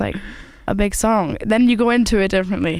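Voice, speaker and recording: Her pitch fairly high, a woman speaks in a Scottish accent. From Scotland. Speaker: singer-songwriter. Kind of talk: casual interview chat.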